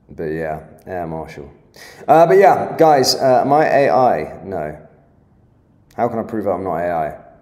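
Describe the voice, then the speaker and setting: Speaking at a fairly slow pace with long, frequent pauses, a man with a very deep, low pitch and a dark, mellow tone shows very wide pitch swings and big swings in loudness, with audible room echo. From southern England, Surrey. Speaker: political commentator. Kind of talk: live stream commentary. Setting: live stream. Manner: casual, hesitant with fillers.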